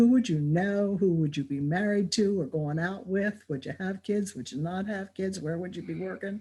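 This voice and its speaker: A woman talks at a medium pitch with ordinary pitch variation and a somewhat breathy quality. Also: moderate pace. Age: 70s. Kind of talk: casual interview. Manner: animated.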